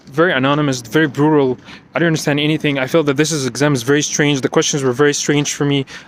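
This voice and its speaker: Amid noticeable background noise, a man with a non-native accent talks at a very fast pace, his fairly high voice monotone with flat intonation. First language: not English. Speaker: IT security professional. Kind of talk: personal vlog monologue. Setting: outdoors, walking at night. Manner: unscripted, repetitive and halting.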